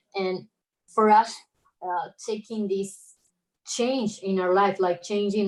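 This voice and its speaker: A woman with an Argentine accent speaks at a medium pitch with fairly even intonation. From Argentina, Buenos Aires. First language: Spanish. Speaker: illustrator. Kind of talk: casual chat.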